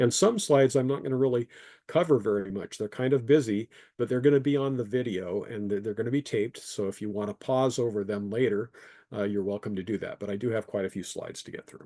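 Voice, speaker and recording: A man speaks at a very fast pace with medium pitch and ordinary pitch variation. The sound is dry and close with no echo, over a quiet background. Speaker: engineer giving a creationist talk. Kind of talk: presentation with slides.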